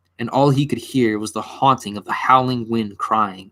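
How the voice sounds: The voice heard is a natural reading voice.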